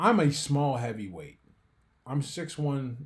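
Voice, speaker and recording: This man's voice sits at a medium pitch. There is some breathiness to it. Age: 40s. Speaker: professional boxer and author. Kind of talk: podcast interview.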